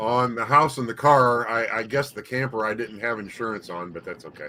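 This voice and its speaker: With an ordinary speaking voice, a man talks at a fairly quick pace and medium pitch, showing ordinary pitch variation and big swings in loudness. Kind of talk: casual conversation on livestream.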